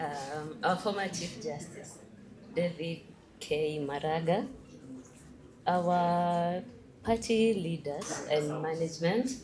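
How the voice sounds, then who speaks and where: Amid audible room echo, a woman with a fairly low pitch and ordinary pitch variation speaks very slowly in a nervous tone, with long, frequent pauses. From Kenya. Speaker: young political aspirant. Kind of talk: convention speech. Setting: stage with large audience. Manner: nervous, code-switching with Swahili.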